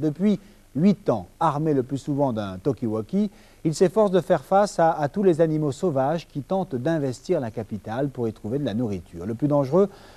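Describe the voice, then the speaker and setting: A man speaks at a moderate pace in a dark, mellow tone. His fairly high pitch moves in very wide swings. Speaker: TV reporter. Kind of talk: TV news report narration. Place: studio.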